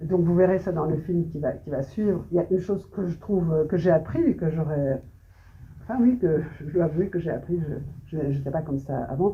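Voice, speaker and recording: Somewhat breathy delivery in a Belgian accent, at a moderate pace with ordinary pitch variation. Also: woman. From Belgium, Brussels. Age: 70s. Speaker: photographer. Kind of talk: interview on stage. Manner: halting, many hesitations.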